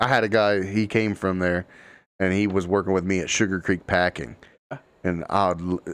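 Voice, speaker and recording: In an Appalachian accent, a man with a very deep, low voice speaks at a moderate pace with fairly even intonation over a quiet background. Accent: Appalachian Ohio. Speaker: podcast host. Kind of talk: casual chat.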